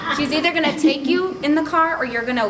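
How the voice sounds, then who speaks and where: With lively intonation, a woman speaks amid audible room echo and noticeable background noise. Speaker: direct sales consultant. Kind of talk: testimony. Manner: fast.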